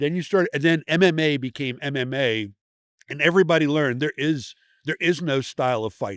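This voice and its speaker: A man's normal speaking voice, fairly high in pitch with ordinary pitch variation, at a fairly quick pace in a very clean recording with a silent background. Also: dry, close sound with no echo. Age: 60s. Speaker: special operations veteran. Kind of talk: casual chat. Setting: trade show booth.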